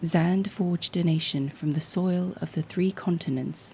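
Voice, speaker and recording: Her intonation fairly even, a woman speaks at a fairly slow pace with a fairly low pitch. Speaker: storyteller. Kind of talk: sleep story.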